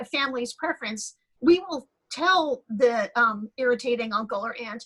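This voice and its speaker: Her pitch is high for a woman. She uses ordinary pitch variation. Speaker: pediatric liver transplant doctor. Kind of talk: panel discussion on video call. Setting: video call. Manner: fast.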